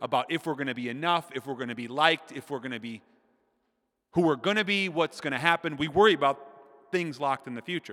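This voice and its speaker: On a very clean recording with a silent background and a dry, close sound with no echo, the speaker has an American accent, a bright, sharp, animated tone and ordinary pitch variation. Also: man. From Minnesota. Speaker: preacher. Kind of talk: sermon. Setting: stage with audience.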